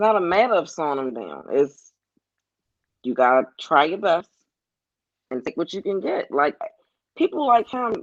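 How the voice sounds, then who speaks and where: With an American accent and a fairly low pitch, a woman speaks with very wide pitch swings, big swings in loudness and long, frequent pauses, the sound dry and close with no echo. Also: moderate pace. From Baltimore, Maryland, West Side. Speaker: sports fan guest. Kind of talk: casual chat.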